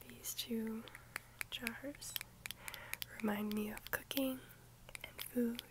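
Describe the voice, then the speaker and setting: A woman whispering in a gentle tone. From United States. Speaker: ASMR creator. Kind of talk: ASMR rambling chat to camera. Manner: soft, gentle, friendly. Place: home room. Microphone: phone near.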